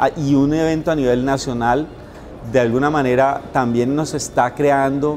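Over faint music in the background, a man talks at a fairly slow pace with ordinary pitch variation. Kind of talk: interview answer. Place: home room. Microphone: lapel.

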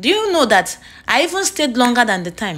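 A woman speaks with a Nigerian accent, her pitch swinging very widely. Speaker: nurse and vlogger. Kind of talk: casual vlog storytelling. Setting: outdoors at a beach. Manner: animated.

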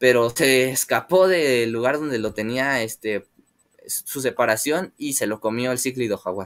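Against a quiet background, a man with a Mexican accent speaks at a fairly slow pace with ordinary pitch variation. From Mexico. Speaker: aquarium hobby youtuber. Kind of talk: live stream chat with viewers. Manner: hesitant, many filler words. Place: home room. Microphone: webcam.

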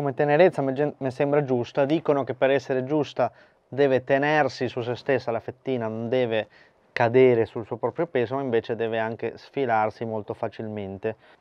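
With an ordinary speaking voice, a man talks at a moderate pace in a medium pitch with fairly even intonation. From Argentina. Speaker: barbecue cooking youtuber. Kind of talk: cooking tutorial.

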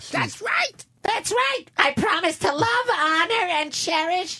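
In a put-on character voice, a female-sounding speaker squeaks at an extremely high pitch and a very slow pace. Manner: funny, exaggerated.

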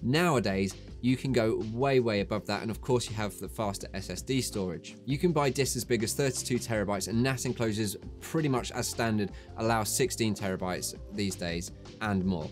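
A man's fairly low voice at a moderate pace, with faint music in the background. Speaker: tech video host. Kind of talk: tutorial. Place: studio.

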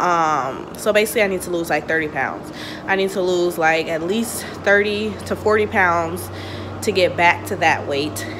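Over noticeable background noise, a woman talks at a fairly slow pace with a fairly low pitch and ordinary pitch variation. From US. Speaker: boutique owner vlogger. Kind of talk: casual vlog monologue; casual vlog chat. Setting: home, self-recorded vlog. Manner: casual, chatty. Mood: relaxed, chatty. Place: home room. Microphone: phone near.

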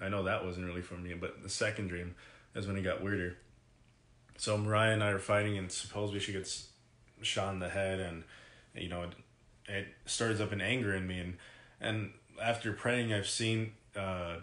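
A man's fairly low voice in a monotone, flat intonation at a moderate pace, with long, frequent pauses and audible room echo. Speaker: vlogger. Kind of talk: casual vlog chat, personal story. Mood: serious, reflective. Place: home room. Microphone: phone near.

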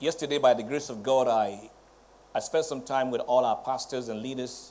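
A man talks at a moderate pace. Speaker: presiding pastor preaching. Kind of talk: sermon. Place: church.

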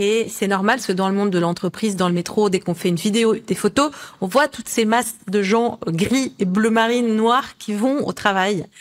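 Her pitch fairly high, a woman talks at a moderate pace with ordinary pitch variation. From Lebanon. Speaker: colour oracle author; guest. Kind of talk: interview. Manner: halting. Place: home room.

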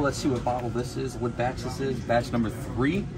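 This man talks at a very fast pace. Noticeable background noise runs behind him. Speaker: bourbon vlogger. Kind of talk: casual vlog chat. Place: shop. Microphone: phone near.

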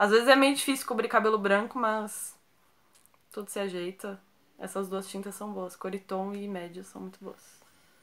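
The woman talks at a moderate tempo. Her voice is medium in pitch. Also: fairly even intonation. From Brazil, São Paulo (Santo André, ABC); São Paulo, Brazil. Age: 20s. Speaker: YouTuber. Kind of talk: casual Q&A vlog. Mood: relaxed, friendly. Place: home room.

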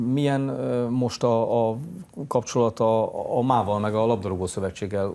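A man's medium-pitched voice at a moderate pace, with long, frequent pauses. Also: fairly even intonation. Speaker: morning TV sports show host. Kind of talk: studio interview. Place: studio.

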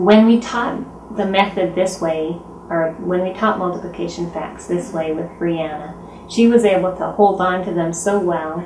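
A woman speaks at a moderate pace over light background noise, with audible echo in the room. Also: ordinary pitch variation. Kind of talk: interview answer. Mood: earnest, enthusiastic. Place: home room.

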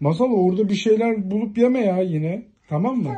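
A woman talks at a fairly quick pace with lively intonation. Her tone is dark and mellow, with a slightly husky edge. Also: medium pitch for a woman.

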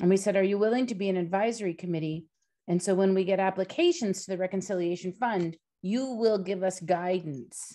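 Against a quiet background, a woman with a dark, mellow tone talks at a fairly quick pace with ordinary pitch variation. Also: medium pitch for a woman. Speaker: nonprofit staff member. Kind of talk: group discussion. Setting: video call. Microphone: video call.

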